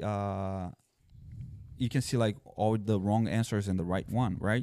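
A man's fairly low voice with a Brazilian accent, dark and mellow in tone, at a fairly slow pace, on a very clean recording over a silent background. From southern Brazil. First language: Portuguese. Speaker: former police officer and army veteran. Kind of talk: casual chat.

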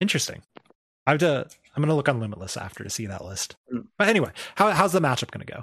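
A man with a General American accent, fairly high pitch, vocal fry, very wide pitch swings, big swings in loudness and a very fast pace. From Arizona. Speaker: podcast host. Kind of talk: casual chat. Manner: animated.

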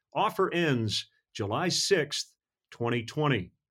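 A man with very wide pitch swings on a very clean recording with a silent background. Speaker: sports broadcaster and podcast host. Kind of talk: podcast interview.

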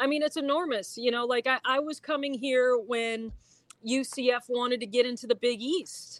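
This woman has an American accent and a high pitch, speaking at a moderate pace with fairly even intonation. The recording is very clean, with a silent background. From upstate New York. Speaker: TV sports director. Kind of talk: casual interview.

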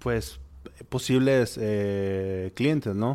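Very cleanly recorded against a silent background, a man with a fairly low pitch speaks at a fairly slow pace. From Monterrey, Mexico. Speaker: gastronomy entrepreneur and teacher. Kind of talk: interview. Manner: halting.

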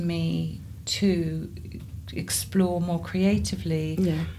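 Speaking in a southern English accent, a woman is heard with audible room echo. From southern England, Surrey. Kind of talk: interview conversation.

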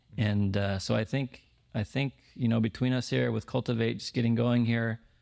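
An ordinary speaking voice, a man's fairly low-pitched delivery with ordinary pitch variation comes through a very clean recording with a silent background and a dry, close sound with no echo. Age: 40s. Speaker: podcast host and pastor. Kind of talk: casual interview.

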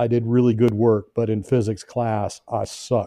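With an American accent, a man talks in a medium pitch and a dark, mellow tone, his intonation monotone and flat. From Indiana, US Midwest. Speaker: spirit communicator and remote viewer. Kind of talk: casual interview chat.

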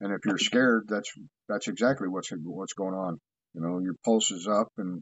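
At a moderate pace, a man talks in a normal speaking voice, fairly low in pitch and with fairly even intonation. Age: 50s. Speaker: paranormal investigator. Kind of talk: casual chat.

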